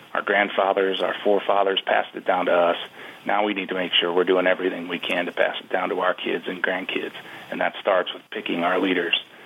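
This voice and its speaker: A man with an American accent at a fairly quick pace, big swings in loudness, and noticeable background noise. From Wisconsin, US Upper Midwest. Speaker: advocacy group CEO, hunter. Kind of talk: radio interview.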